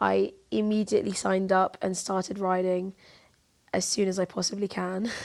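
Speaking in a London accent, a woman keeps a medium pitch with fairly even intonation. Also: moderate pace. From southeast London. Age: 20s. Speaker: university student and amateur jockey. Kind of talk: interview.

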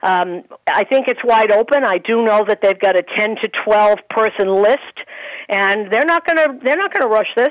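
A woman with a normal speaking voice, a fairly high pitch, ordinary pitch variation, very even loudness and a moderate pace, in a dry, close sound with no echo. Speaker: baseball radio broadcaster. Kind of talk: casual sports talk chat. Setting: phone call.

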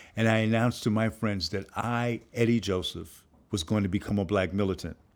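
With an American accent and an unremarkable speaking voice, a man talks at a moderate pace with fairly even intonation in a very clean recording with a silent background. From New York (Harlem). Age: 60s. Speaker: filmmaker and professor. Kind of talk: interview.

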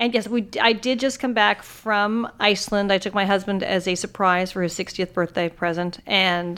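In a plain, everyday voice, a woman of medium pitch speaks at a moderate pace with fairly even intonation and hardly any pauses. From California. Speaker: podcast co-host, TV writer. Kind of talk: casual chat. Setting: studio.

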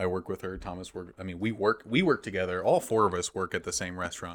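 The recording is very clean with a silent background. A man with an American accent and an ordinary speaking voice talks at a fairly quick pace. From small-town US. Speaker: comedian and theater actor. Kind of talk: casual chat.

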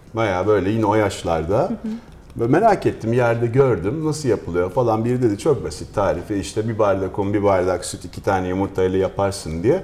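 Moderate speed and ordinary pitch variation in a man's fairly low-pitched voice, an unremarkable speaking voice. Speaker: chef. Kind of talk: casual chat.

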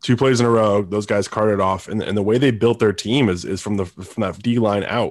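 A man with an unremarkable speaking voice talks at a fairly quick pace with hardly any pauses. His fairly low pitch stays in fairly even intonation on a very clean recording with a silent background. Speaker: sports podcast co-host. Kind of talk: casual sports talk show.

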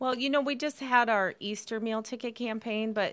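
On a very clean recording with a silent background, a woman speaks at a moderate pace in a Midwestern accent. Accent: general American, Midwest. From northern Michigan. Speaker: nonprofit staff member, event organizer. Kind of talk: casual interview chat.

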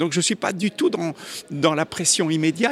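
A man's voice, high in pitch. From Belgium. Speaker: comic book artist. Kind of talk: interview.

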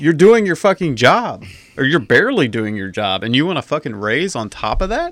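A man talks at a fairly quick pace with a fairly high pitch. His pitch swings very widely, and there is vocal fry. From Atlanta, Georgia. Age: 40s. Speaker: podcast co-host. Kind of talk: casual chat.

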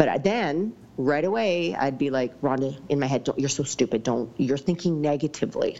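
A woman's very deep, low voice in a Western Canadian accent, at a moderate pace with lively intonation. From British Columbia, Canada. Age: 40s. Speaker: fitness coach. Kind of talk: casual interview.

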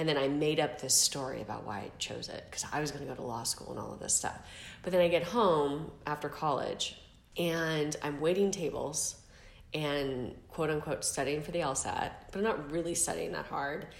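A woman with a Californian accent speaks in a very deep, low voice at a moderate pace. Her pitch varies in an ordinary way, and the room echo is audible. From San Diego, California. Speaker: podcast guest, former mortgage banker. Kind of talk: interview, casual storytelling.

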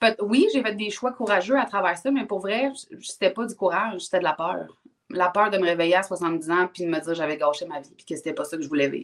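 A woman with an unremarkable speaking voice talks at a fairly quick pace and medium pitch. Her intonation is lively, and her loudness swings widely. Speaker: personal development coach. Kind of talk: casual interview chat. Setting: livestream.

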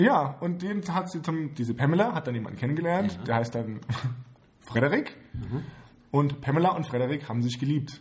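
With lively intonation and a fairly high pitch, a man speaks at a fairly quick pace but leaves long, frequent pauses. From Heidelberg/Mannheim area, Germany. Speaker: podcast co-host. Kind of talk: casual chat. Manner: laughs a lot.

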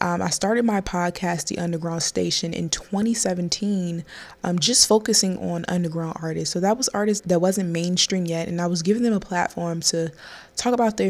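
Her voice sounds animated and fairly low. The woman moves at a fairly quick pace with ordinary pitch variation. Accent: American. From Maryland, US. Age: 20s. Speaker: podcast host. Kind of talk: casual solo podcast monologue.

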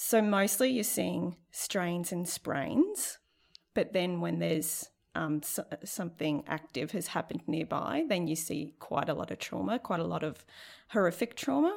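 Speaking fairly slowly, a woman talks with an Australian accent. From Central Queensland, Australia. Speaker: nursing lecturer. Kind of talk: casual interview.

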